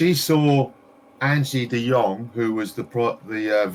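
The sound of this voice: An unforced reading voice, its pitch rising and falling in an ordinary way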